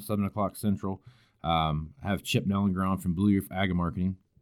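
A man with a Kansas accent speaks at a fairly low pitch. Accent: Midwestern American, Kansas. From Kansas, El Dorado near Wichita. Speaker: agricultural podcast host. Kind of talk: casual interview. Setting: basement home studio.

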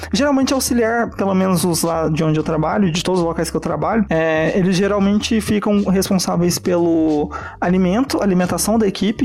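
With noticeable background noise behind him, a man talks in a high pitch with ordinary pitch variation. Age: 20s. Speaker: chef. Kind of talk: casual chat.

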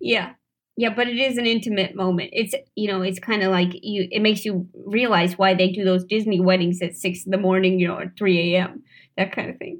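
A woman's unremarkable speaking voice at medium pitch, fairly quick in pace with fairly even intonation. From St. Louis, Missouri. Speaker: comedian and actor. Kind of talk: casual chat. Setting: studio.

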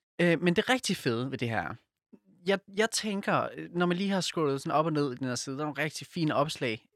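Lively intonation marks this man's unremarkable speaking voice. His pitch is fairly high, and his pace is fairly quick. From Silkeborg, Jutland. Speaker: podcast co-host. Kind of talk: casual chat; reading aloud.

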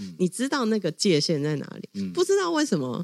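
An animated woman with very wide pitch swings, in a dry, close sound with no echo. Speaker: LGBTQ rights advocacy leader. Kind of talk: interview conversation. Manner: animated, frequent laughter.

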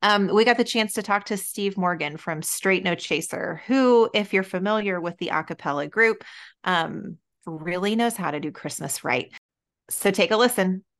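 A normal speaking voice, with ordinary pitch variation and a moderate pace, comes through against a quiet background. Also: woman, medium pitch for a woman. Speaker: podcast host. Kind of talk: casual interview chat.

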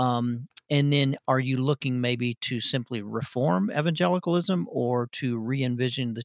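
A man's medium-pitched voice in a Southern US accent, moderate in pace with ordinary pitch variation, on a very clean recording with a silent background and a dry, close sound with no echo. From Arkansas. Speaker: podcast co-host. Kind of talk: casual chat.

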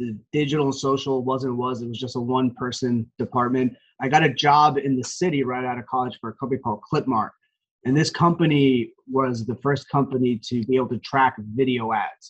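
In a plain, everyday voice, a man with an American accent talks at a fairly quick pace and a medium pitch. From New Jersey, Morris County. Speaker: sports team marketing executive. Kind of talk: interview.

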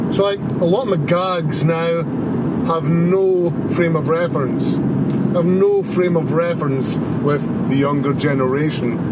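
Scottish accent at a fairly slow pace, ordinary pitch variation, very even loudness, audible room echo and noticeable background noise. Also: man, high pitch for a man. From Scotland. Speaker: listener caller, bartender. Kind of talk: voicemail message.

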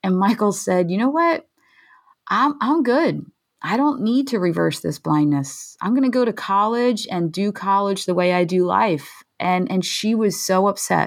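In an American accent, a woman with a medium pitch speaks at a fairly slow pace, her pitch swinging very widely while her loudness stays very even, in a very clean recording with a silent background. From US, Philadelphia. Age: 40s. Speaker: nonprofit founder and mom of blind sons. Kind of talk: interview, personal story.

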